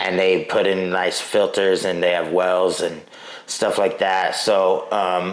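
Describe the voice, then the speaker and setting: Fairly slow speech from a man with an American accent, with audible room echo and noticeable background noise. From US Southwest, El Paso, Texas. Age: 30s. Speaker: hip-hop artist. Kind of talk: casual interview chat.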